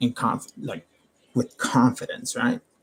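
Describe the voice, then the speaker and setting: A man's voice with music in the background. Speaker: tarot reader streamer. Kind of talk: casual livestream talk. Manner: loud, projecting; casual.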